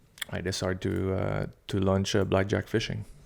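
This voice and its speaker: A man with an eastern Quebec accent speaks in a very deep, low pitch. His intonation is monotone and flat, in a very clean recording with a silent background. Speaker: military veteran and fishing guide. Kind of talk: interview. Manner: halting.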